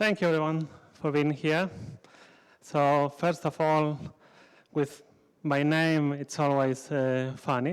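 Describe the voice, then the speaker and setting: A man with a Spanish accent speaks at a fairly slow pace and a fairly high pitch, recorded very cleanly against a silent background. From Spain. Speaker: conference speaker. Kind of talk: conference talk. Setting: stage with audience.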